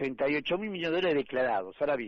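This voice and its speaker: A man talks very fast in a fairly high voice. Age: 70s. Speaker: economist. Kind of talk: radio interview.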